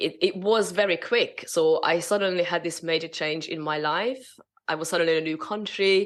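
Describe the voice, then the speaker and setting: With a Hungarian accent, a woman with a fairly low pitch speaks with fairly even intonation. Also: quiet background. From Hungary. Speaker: spiritual business mentor. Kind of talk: interview. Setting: podcast.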